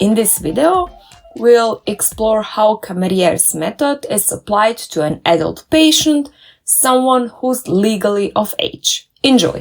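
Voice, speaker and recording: Backed by music, a woman with a fairly high pitch speaks at a fairly slow pace, her pitch swinging very widely. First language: German or Croatian. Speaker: dentist and doctoral researcher. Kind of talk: tutorial.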